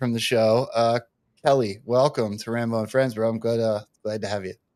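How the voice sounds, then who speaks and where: A man with a normal speaking voice, medium pitch, moderate pace and an American accent. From Delaware County, Pennsylvania. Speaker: show host. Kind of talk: casual chat.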